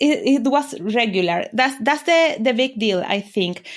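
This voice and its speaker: Over a silent background in a very clean recording, a woman speaks at a fairly high pitch. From Venezuela. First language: Spanish. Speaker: business mentor. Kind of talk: interview. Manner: halting.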